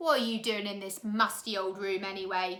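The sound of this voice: A woman uses a put-on character voice at a medium pitch and moderate pace. It sounds croaky and growling.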